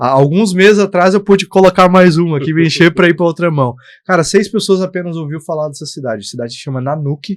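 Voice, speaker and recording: A high-pitched man at a very fast pace, with ordinary pitch variation and big swings in loudness. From southern Brazil (Bagé, Rio Grande do Sul), born in Minas Gerais. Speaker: guest speaking about faith and entrepreneurship. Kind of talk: casual podcast interview.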